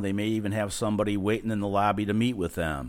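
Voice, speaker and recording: Very fast speech with an American accent and fairly even intonation. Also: man. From California. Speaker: marketing company owner. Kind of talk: podcast interview.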